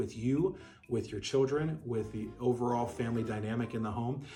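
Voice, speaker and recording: Soft-spoken and calm in tone, a man at medium pitch talks at a moderate pace over noticeable background noise. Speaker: dog breeder. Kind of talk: tutorial.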